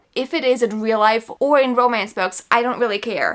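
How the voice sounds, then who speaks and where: A woman speaks in an American accent with an animated tone. Her high voice shows ordinary pitch variation. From New York. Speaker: book vlogger. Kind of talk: casual chat.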